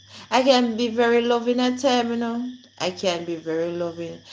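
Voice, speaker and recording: A woman speaks with a Jamaican accent and lively intonation. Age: 40s. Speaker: live streamer. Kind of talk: casual live-stream chat. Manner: animated.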